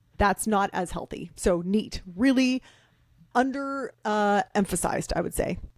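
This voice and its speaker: A woman with a Canadian accent speaks at a fairly high pitch and a fairly slow pace, with ordinary pitch variation. The sound is dry and close, with no echo. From Canada. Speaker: author and fitness expert. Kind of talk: podcast interview. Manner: casual, energetic.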